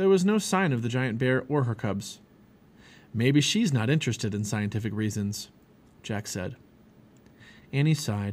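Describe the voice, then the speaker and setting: A man with medium pitch speaks at a moderate pace in an animated, dramatic tone. The recording is very clean, with a silent background. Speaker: audiobook narrator. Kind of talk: reading aloud a children's story, dramatic narration. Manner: animated, expressive, voicing characters with dramatic pacing.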